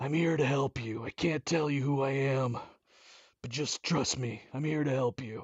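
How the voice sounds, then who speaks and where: This is a man doing a put-on character voice. His pitch is medium. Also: moderate pace. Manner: earnest, mysterious.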